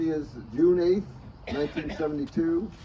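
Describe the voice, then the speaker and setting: A man with a fairly high pitch speaks at a fairly slow pace over noticeable background noise. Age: 80s+. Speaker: lawyer celebrating his birthday. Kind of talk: birthday speech. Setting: birthday luncheon with guests.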